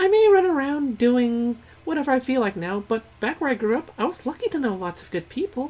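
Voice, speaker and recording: Delivered at a fairly quick pace, a put-on character voice speaks in a high pitch. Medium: game stream. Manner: breezy, casual.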